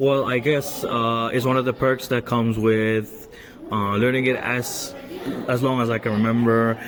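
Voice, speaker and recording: A man's medium-pitched voice at a moderate pace, with audible room echo and noticeable background noise. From Denmark. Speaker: university student. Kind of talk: class podcast discussion. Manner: hesitant with fillers.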